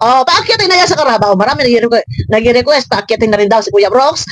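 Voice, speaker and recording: Very fast speech in a Batangas accent, with music in the background. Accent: Batangueño accent coming out. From Batangas, Philippines. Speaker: online commentary vlogger. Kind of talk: reaction commentary. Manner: animated.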